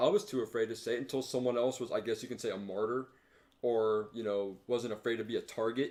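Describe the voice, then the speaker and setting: A man with a plain, everyday voice, medium in pitch, at a fairly quick pace. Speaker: podcast co-host. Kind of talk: casual chat.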